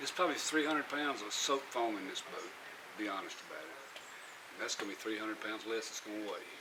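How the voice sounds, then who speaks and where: Very fast, a man speaks at medium pitch with ordinary pitch variation. Noticeable background noise and audible room echo fill the recording. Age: 60s. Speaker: vlogger building a boat. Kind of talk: casual vlog monologue.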